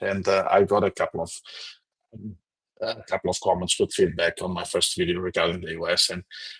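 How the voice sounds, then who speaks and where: Recorded with a dry, close sound and no echo, a man speaks at a fairly quick pace with a Portuguese accent. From Portugal. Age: 40s. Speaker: political commentator livestreamer. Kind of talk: livestream commentary reading chat comments. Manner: halting, repeats words.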